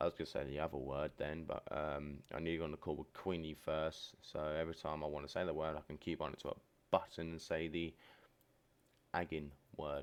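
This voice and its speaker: Very deep and low in pitch, a man speaks at a fairly quick pace in a monotone, flat intonation. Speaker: streamer. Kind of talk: personal vlog monologue. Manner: low-energy.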